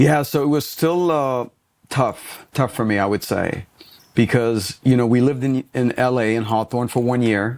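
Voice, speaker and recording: Moderately paced male speech at a medium pitch, with ordinary pitch variation. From Lebanon, moved to US at about eleven. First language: Arabic. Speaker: business coach. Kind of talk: podcast interview.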